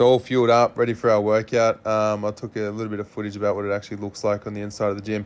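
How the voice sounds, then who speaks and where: A man speaks in an Australian accent at a fairly low pitch. His intonation is monotone and flat. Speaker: vlogger, male revue performer. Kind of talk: travel vlog narration. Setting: outdoors walking the strip. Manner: casual, filler-heavy.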